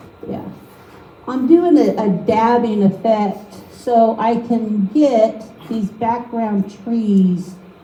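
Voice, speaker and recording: Over noticeable background noise, a woman speaks very slowly in a fairly high voice with ordinary pitch variation. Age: 50s. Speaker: artist giving a painting demo to an art league. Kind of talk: live painting demo with personal testimony. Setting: meeting room with live audience.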